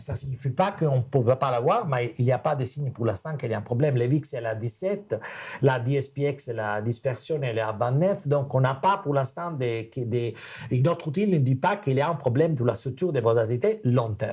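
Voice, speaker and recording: A man with a non-native accent speaks fairly quickly in a somewhat breathy voice at a medium pitch, using lively intonation. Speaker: macro analyst. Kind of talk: webinar Q&A. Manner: halting.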